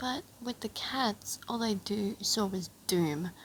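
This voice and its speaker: A woman talks with a fairly high pitch. Noticeable background noise runs behind her. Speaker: fanfic reader. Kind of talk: reading aloud; casual chat.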